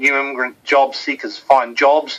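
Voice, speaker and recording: A man with a New Zealand accent speaks in a bright, sharp tone. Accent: funny accent (New Zealand). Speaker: webinar host. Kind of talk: webinar presentation. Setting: online webinar from office. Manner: casual, hesitant with fillers.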